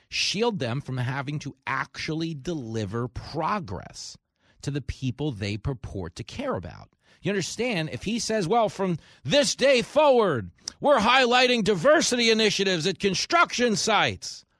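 In a New York accent, a man talks at a moderate pace in a high, animated voice with very wide pitch swings. The sound is dry and close with no echo over a quiet background. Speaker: talk radio host and comedian. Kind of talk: talk radio monologue and interview. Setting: studio.

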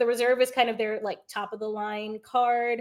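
Animated in tone, a woman with an American accent talks at a fairly high pitch and a fairly quick pace. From England, then US. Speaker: former engineer and short-term rental investor. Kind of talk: casual interview.

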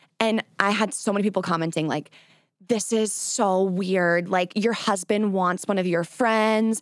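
Using a normal speaking voice, a woman talks at a medium pitch with fairly even intonation and very even loudness. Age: 20s. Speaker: content creator and podcaster. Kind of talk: interview.

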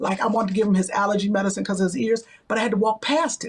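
A woman's medium-pitched voice carries a slightly husky edge.

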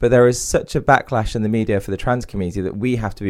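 A man with an East Midlands accent at a very fast pace, on a very clean recording with a silent background. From England, Derby (East Midlands). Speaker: CEO and author on diversity and inclusion. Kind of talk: podcast interview.

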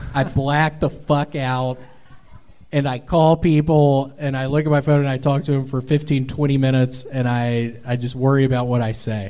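At a moderate pace, a man speaks in a monotone with flat intonation at a medium pitch. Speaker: stand-up comedian. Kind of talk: live comedy show banter. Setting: stage with audience.

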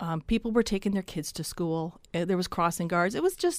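In a very clean recording with a silent background, a woman with a Canadian accent talks in an unremarkable speaking voice at medium pitch, her intonation fairly even. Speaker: writer. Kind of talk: radio interview.

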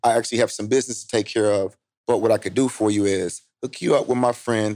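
A man with a fairly low pitch talks at a fairly quick pace with fairly even intonation, in a normal speaking voice. The recording is very clean with a silent background. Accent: American. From Indiana, US Midwest. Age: 30s. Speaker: entrepreneur and real estate investor. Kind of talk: casual interview.

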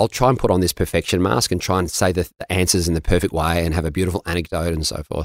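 A man with an Australian accent talks at a very fast pace in a very deep, low pitch, in a very clean recording with a silent background and a dry, close sound with no echo. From Melbourne, Australia. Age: 50s. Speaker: mindset coach. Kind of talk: interview conversation. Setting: studio.

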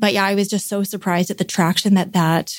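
Speaking at a very fast pace with a Canadian accent, a woman of medium pitch keeps a fairly even intonation in a very clean recording with a silent background. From Vancouver, Canada. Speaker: baker and business owner. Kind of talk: casual interview chat.

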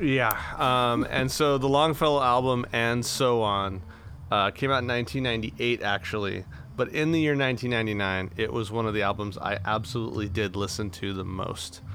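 Using a bright, sharp tone, a man with an American accent talks at a medium pitch and moderate pace, his pitch varying in an ordinary way. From US Southwest, Imperial Valley, California. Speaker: podcast host and teacher. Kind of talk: casual chat. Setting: outdoors in a yard.

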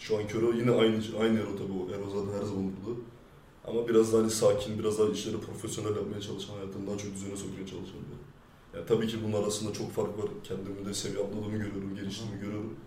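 Amid noticeable background noise and audible room echo, a man with fairly low pitch talks at a very fast pace in monotone, flat intonation, with big swings in loudness. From France. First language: French (speaking Turkish). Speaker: rapper. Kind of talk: interview. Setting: studio.

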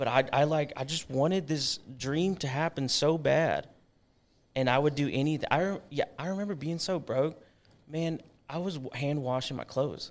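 A man with an unremarkable speaking voice and an American accent, at a fairly high pitch, a moderate pace and fairly even intonation. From Texas, Georgetown near Austin. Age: 30s. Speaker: leather maker. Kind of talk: casual chat.

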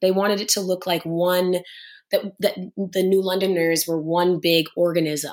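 In a very clean recording with a silent background, a woman speaks at a moderate pace in a monotone, flat intonation with very even loudness. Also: medium pitch for a woman. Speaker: actress. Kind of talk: interview.

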